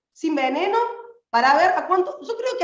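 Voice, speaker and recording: An animated woman's voice at an extremely high pitch, fairly quick pace and very wide pitch swings, with audible room echo. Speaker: activist. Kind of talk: political speech. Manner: fast.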